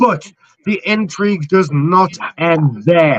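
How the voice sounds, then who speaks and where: A man talks loudly with lively intonation. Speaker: online wrestling show host and commentator. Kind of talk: reading aloud a scripted match recap. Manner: animated.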